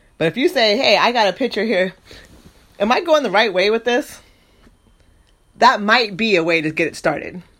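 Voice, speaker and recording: The speech has an animated tone and a moderate pace, broken by long, frequent pauses. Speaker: podcast host. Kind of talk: casual monologue.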